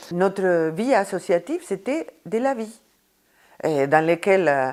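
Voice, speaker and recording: Her intonation is lively even though this woman talks at a very slow pace. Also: medium pitch for a woman. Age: 60s. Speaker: association member. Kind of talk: interview testimony.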